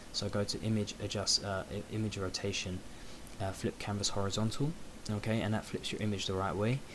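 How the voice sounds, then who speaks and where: Quiet and fairly quick, a man with a British accent speaks at a fairly low pitch with fairly even intonation. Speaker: photo editing tutorial creator. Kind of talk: tutorial. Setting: at home late at night.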